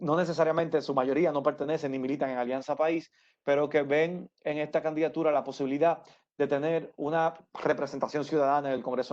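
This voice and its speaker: Fairly quick speech with fairly even intonation over a quiet background. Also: man. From Dominican Republic, Santo Domingo. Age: 30s. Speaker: political candidate. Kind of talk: interview. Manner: halting.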